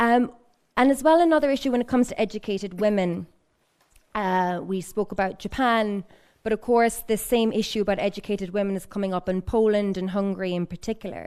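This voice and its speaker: A woman with an Irish accent speaks at a fairly quick pace and a medium pitch, with ordinary pitch variation. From Ireland. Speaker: research fellow asking questions from audience. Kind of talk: audience question at panel discussion. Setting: public event in library.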